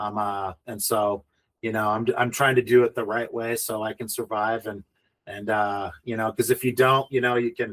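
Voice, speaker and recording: At a moderate pace, a man with a medium pitch speaks in a monotone, flat intonation, in a dry, close recording with no echo. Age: 50s. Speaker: real estate developer. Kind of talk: interview. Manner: halting, many fillers.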